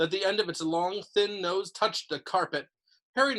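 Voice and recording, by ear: Someone is reading aloud in a natural voice with lively intonation against a quiet background.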